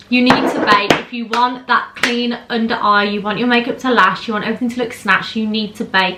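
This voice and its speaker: A woman with a British accent, high in pitch, over noticeable background noise. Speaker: beauty vlogger / makeup artist. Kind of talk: makeup tutorial chat. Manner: fast; animated.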